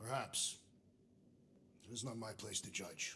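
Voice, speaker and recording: A man uses a put-on character voice, raspy and medium-pitched, speaking at a moderate pace. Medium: video game. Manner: formal, deliberate, unsmiling.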